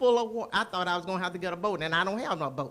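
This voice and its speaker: With noticeable background noise behind her, a woman speaks with lively intonation in an American accent. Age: 70s. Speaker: resident speaking at town hall. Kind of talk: public comment. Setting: city board room meeting with audience.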